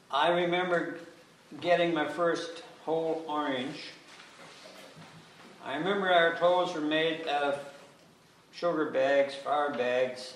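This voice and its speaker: Noticeable background noise and audible room echo surround a man speaking at a very slow pace with long, frequent pauses. His pitch is fairly high and his intonation fairly even. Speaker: local resident speaking at public consultation. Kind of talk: public meeting testimony. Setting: town hall public meeting. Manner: halting, repetitive.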